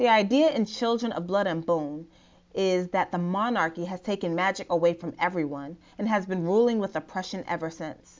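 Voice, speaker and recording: In an American accent, a woman uses a plain, everyday voice at medium pitch, with a moderate pace and ordinary pitch variation. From US, Nigerian American family. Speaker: blogger, therapist. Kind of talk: reading own blog post aloud. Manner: casual, conversational.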